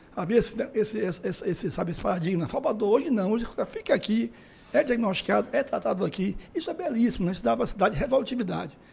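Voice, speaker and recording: A man at a very fast pace with a high pitch and lively intonation. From Feira de Santana, Bahia, Brazil. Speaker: medical imaging company president. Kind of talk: interview. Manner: hesitant, many fillers. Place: hall. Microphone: handheld.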